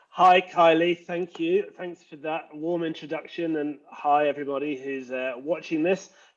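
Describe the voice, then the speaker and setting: A man with an English accent speaks at a moderate pace and a fairly high pitch. His intonation is fairly even, with hardly any pauses. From England. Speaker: leadership coach and former pastor. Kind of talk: casual interview. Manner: hesitant, many fillers.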